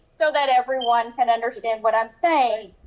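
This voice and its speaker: Noticeable background noise is present as a woman speaks. Her voice is high-pitched, with ordinary pitch variation. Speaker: presenter. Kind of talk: live presentation to audience. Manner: animated.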